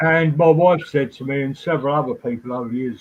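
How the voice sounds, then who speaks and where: A man speaks very fast in a fairly high voice, with ordinary pitch variation. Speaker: trance medium. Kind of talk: interview.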